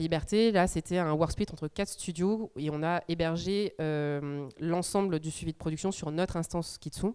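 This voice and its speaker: A woman speaks with a dark, mellow tone at a fairly low pitch and a moderate pace. Her intonation stays fairly even, and she hardly pauses at all. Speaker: animation studio head. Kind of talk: conference talk. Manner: hesitant, many fillers.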